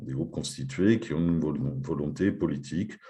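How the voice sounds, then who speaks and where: Very deep and low, this man's voice has a dark, mellow tone and vocal fry. His pitch swings very widely at a moderate pace. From France. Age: 50s. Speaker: teacher. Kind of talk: conference talk.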